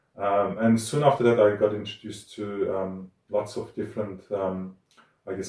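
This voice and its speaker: A man with a Turkish accent speaks at a moderate pace. His voice is fairly low, with a dark, mellow tone. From Turkey. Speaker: academic cartoonist and musician. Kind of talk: interview. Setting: art studio. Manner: hesitant, many fillers.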